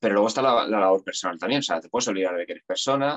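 In a normal speaking voice, a man speaks at a medium pitch with lively intonation. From Spain, Aranjuez (Madrid region). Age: 40s. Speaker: actor and musician. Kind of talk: casual interview.

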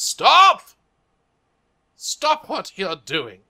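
A man uses a put-on character voice, raised and projected. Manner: commanding.

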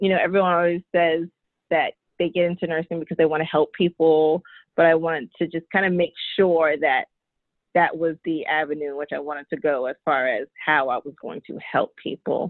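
An unremarkable speaking voice from a woman, fairly low in pitch, at a moderate pace with fairly even intonation. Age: 20s. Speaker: licensed practical nurse. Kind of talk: casual chat.

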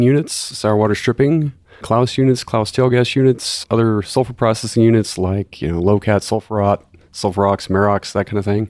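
With a Texan accent, a man speaks at a fairly quick pace in a fairly low, dark, mellow voice with fairly even intonation. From Texas (Corpus Christi). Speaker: chemical engineer. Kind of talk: technical explanation. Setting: in-person recording.

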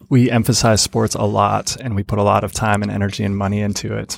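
A man with an American accent speaks in a normal speaking voice at a moderate pace, his fairly low pitch and fairly even intonation captured in a very clean recording with a silent background. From Grand Rapids, Michigan. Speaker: pastor and basketball fan. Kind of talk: interview. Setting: studio.

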